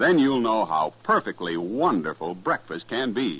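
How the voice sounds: With big pitch swings, a fairly bright tone and a slightly husky edge, the voice moves at a fairly slow pace. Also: man, fairly low pitch for a man.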